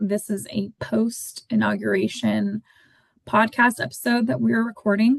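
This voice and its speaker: A somewhat breathy woman at a fairly slow pace. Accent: American. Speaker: podcast co-host. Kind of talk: casual podcast chat. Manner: hesitant, many filler words.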